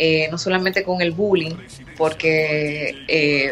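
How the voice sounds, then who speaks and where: A woman talks in a fairly low voice with monotone, flat intonation. There is noticeable background noise behind her. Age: 20s. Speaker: fitness entrepreneur. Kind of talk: interview.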